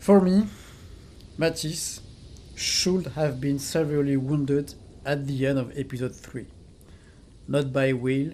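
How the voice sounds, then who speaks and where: The speaker talks very slowly in a French accent, with long, frequent pauses. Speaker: gaming video essayist. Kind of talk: video essay commentary. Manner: some hesitations with fillers.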